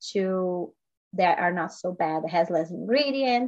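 This is a woman speaking with a Portuguese accent. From Brazil. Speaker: health and life coach. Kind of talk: podcast interview.

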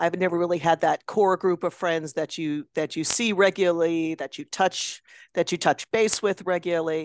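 A woman's ordinary speaking voice with an American accent, fairly low in pitch, at a moderate pace, dry and close with no echo against a quiet background. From Chicago area. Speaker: novelist and former drama teacher. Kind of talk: casual chat.

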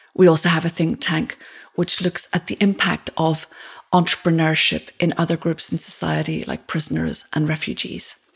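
A woman speaks in a fairly low pitch with fairly even intonation at a moderate pace. There is noticeable background noise. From Ireland. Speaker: podcast host and entrepreneur. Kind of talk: scripted podcast introduction.

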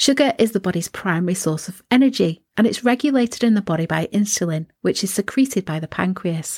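A woman with a British accent speaks at a fairly quick pace in a medium-pitched, somewhat breathy voice, with hardly any pauses. Her intonation is lively, and the sound is dry and close with no echo. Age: 50s. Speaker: wellness podcast host. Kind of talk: solo podcast monologue, partly scripted.

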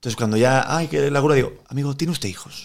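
Speaking fairly quickly, a man uses an unremarkable speaking voice at medium pitch. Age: 30s. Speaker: actor. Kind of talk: casual chat.

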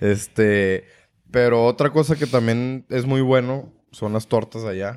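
In a very clean recording with a silent background, a man of medium pitch talks at a very slow pace with fairly even intonation. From northern Mexico, Torreón. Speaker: podcast host. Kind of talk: casual chat.

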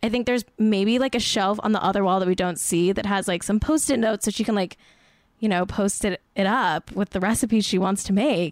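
The speaker has a Southern California accent and a fairly quick pace. Pitch variation is ordinary. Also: woman. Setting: remote, recorded over the internet.

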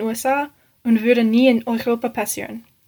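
A fairly slow voice with an English accent, delivered in a flat monotone. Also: woman. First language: English (speaking German). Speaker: exchange student, listener. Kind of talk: recorded listener question.

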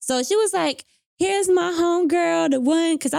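A woman speaks with a Charlotte accent at a fairly quick pace. The recording is very clean, with a silent background. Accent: Southern US, Charlotte. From Charlotte, North Carolina. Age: 20s. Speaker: poet and author. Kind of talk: casual chat. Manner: casual, slangy.

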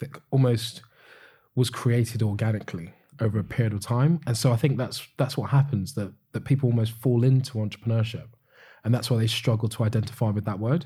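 A man with a British accent speaks very fast at a medium pitch, somewhat breathy, with a dark, mellow tone and fairly even intonation. The recording is very clean, with a silent background. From UK. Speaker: business founder. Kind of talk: podcast interview.

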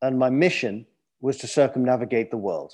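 Against a quiet background, a medium-pitched man talks in a London accent. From London, England. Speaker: adventurer, author and TV host. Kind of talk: interview. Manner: halting, with fillers.

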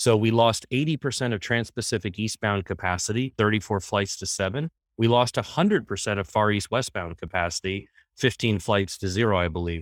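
In a very clean recording with a silent background and a dry, close sound with no echo, a man talks in a normal speaking voice, fairly low in pitch with ordinary pitch variation. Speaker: air freight executive. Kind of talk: interview discussion.

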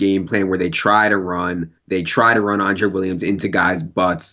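A man has a normal speaking voice, fairly low in pitch. He talks at a moderate pace with an American accent. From Virginia. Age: 30s. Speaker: fantasy football analyst. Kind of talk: casual chat.

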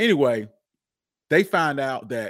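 A man with an American accent and an unremarkable speaking voice talks at medium pitch with lively intonation, in a very clean recording over a silent background. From Charlotte, North Carolina. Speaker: podcaster and history podcast host. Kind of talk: interview.

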